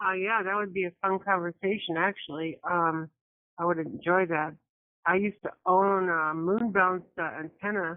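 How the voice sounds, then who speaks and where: The speaker has an unremarkable speaking voice. The delivery comes at a moderate pace with fairly even intonation. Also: woman, medium pitch for a woman. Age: 60s. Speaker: ham radio operator, net participant. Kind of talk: casual radio chat.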